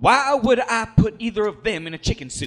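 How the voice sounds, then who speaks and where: A man speaks in a theatrical, pompous tone with a high pitch. His pace is moderate and his pitch variation ordinary. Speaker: wrestling writer/booker character. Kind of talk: scripted comedic audio drama. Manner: theatrical, pompous, mock-pious.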